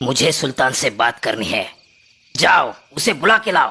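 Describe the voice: In a cartoonish character voice, a man growls at a fairly high pitch and a moderate pace.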